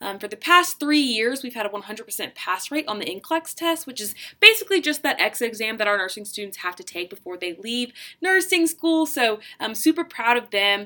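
With an American accent and a fairly high pitch, a woman speaks at a moderate pace in an animated tone. Her voice shows very wide pitch swings and big swings in loudness. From US South, Charleston, South Carolina. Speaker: student tour guide. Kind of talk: guided campus tour narration. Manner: animated, frequent fillers.

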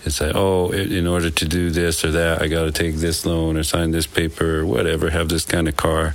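There is noticeable background noise as a man speaks in a very deep, low pitch with hardly any pauses. His intonation is monotone and flat. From Wyoming. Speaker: nonprofit founder and father. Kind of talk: interview.

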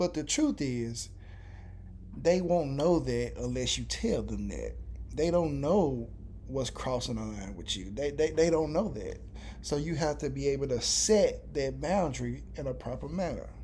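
There is audible room echo around this voice. A man is speaking at a fairly slow pace. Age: 30s. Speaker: podcast co-host. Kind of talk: casual chat. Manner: animated.

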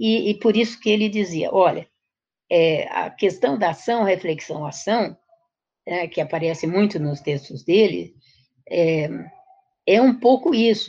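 This speaker has a dark, mellow tone and lively intonation, moving at a fairly slow pace with long, frequent pauses. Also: woman, medium pitch for a woman. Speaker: education professor. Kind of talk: interview.

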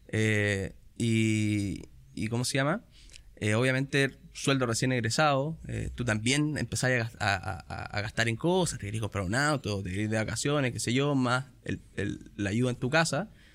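Over a very clean recording with a silent background, a man with a medium pitch speaks at a fairly slow pace with ordinary pitch variation. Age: 30s. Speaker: fund company sales manager. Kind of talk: casual interview.

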